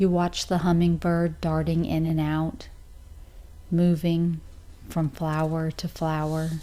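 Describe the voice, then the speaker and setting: Fairly low female voice, very slow and monotone, with a dark, mellow tone, flat intonation and long, frequent pauses. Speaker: meditation guide. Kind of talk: guided meditation. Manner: slow, soft-spoken.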